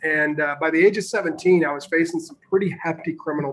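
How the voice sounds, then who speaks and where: The voice has a bright, sharp tone with an American accent. Intonation is fairly even at a moderate pace. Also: man. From Northern Illinois. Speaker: sales trainer and real estate wholesaler. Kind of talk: interview.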